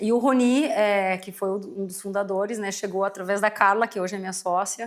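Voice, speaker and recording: A woman with an ordinary speaking voice keeps a medium pitch and fairly even intonation. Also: moderate pace. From southern Brazil, Rio Grande do Sul (São Leopoldo, near Porto Alegre). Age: 40s. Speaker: company CEO, market research executive. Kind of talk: podcast interview. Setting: studio.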